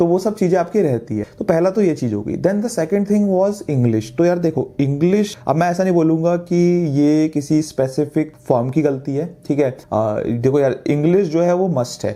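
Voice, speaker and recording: Lively intonation from a man with a fairly high pitch and a dark, mellow tone, at a moderate pace with hardly any pauses. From India, Delhi. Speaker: chartered accountant and course instructor. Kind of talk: course introduction talk. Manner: casual, conversational.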